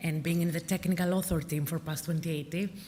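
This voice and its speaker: Somewhat breathy and fairly low in pitch, a woman speaks at a very fast pace with fairly even intonation amid audible room echo. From Greece, Athens. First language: Greek. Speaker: civil engineering consultant, technical author. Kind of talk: conference presentation.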